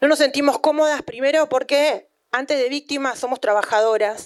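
With fairly even intonation, a woman keeps a moderate pace. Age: 30s. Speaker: sex workers' union leader and author. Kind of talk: book presentation talk.

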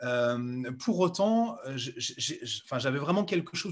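At a very slow pace, a man speaks high for a man with lively intonation. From central France. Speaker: speed skier and entrepreneur. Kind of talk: interview. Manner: halting, many fillers.

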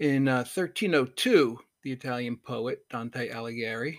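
A man speaks in a normal speaking voice at a medium pitch with ordinary variation. His pace is fairly slow, on a very clean recording with a silent background. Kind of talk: poet reading. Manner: measured, contemplative.

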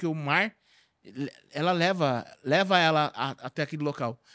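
On a very clean recording with a silent background, a man's bright, sharp tone comes through dry and close with no echo. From Brazil, Carapicuíba (São Paulo). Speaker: clown and comedian. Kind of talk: casual chat.

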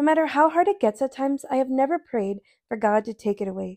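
A woman's voice carries a dark, mellow tone. The sound is dry and close with no echo, on a very clean recording with a silent background. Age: 20s. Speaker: podcast host and speaker. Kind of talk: testimony speech. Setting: women's event.

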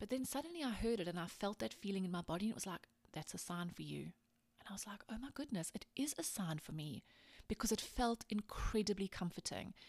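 A woman's animated, somewhat breathy delivery, very fast, at medium pitch with lively intonation. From South Africa, small town. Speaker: podcast host, life coach. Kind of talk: casual solo monologue.

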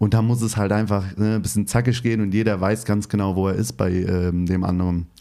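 A man talks at a fairly quick pace with fairly low pitch. His tone is dark and mellow. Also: fairly even intonation, hardly any pauses. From Hesse, Turkish-German family. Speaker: podcast host. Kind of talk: interview.

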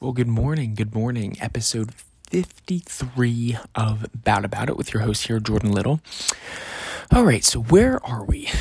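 Amid noticeable background noise, a man speaks at a fairly slow pace with a medium pitch and ordinary pitch variation. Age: 20s. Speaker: podcast host. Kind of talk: casual monologue. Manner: casual, many filler words.

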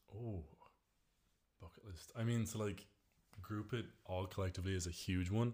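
A man at fairly low pitch speaks in a dark, mellow, somewhat breathy tone at a moderate pace, with fairly even intonation and long, frequent pauses. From Ireland, County Mayo. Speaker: student, law master's.

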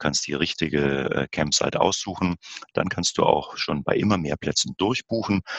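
A man's very deep, low voice at a moderate pace, with lively intonation. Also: dry, close sound with no echo. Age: 50s. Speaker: camping expert and company director. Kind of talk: interview.

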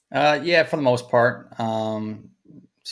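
In a very clean recording with a silent background, a man speaks at a moderate pace. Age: 20s. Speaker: driving range owner and golf instructor. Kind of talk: casual interview. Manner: composed; mature-sounding.

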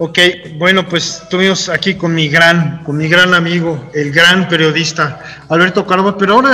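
A man with a high-pitched voice speaks in a Mexican accent. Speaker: podcast host and cartoonist. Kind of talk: casual interview chat.

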